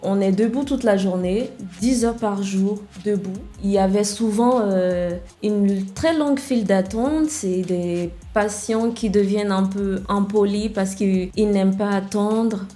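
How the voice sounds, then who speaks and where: A woman with an English accent speaks at a very slow pace, her medium pitch varying in an ordinary way. Music plays in the background, and room echo is audible. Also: very even loudness. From Nigeria. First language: English (speaking French). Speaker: web developer and founder. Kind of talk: podcast interview.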